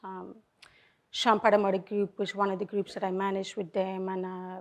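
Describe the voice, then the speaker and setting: In a Colombian accent, a woman talks at a fairly quick pace and medium pitch with monotone, flat intonation against a quiet background. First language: Spanish. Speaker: car dealership general manager. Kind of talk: panel talk to audience. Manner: halting, many fillers.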